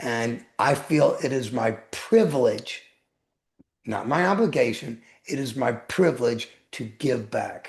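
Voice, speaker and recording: This voice has lively intonation, a fairly slow pace and a somewhat breathy quality. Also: man, medium pitch for a man. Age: 60s. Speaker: weight loss coach and author. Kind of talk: podcast interview. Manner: emphatic, repetitive.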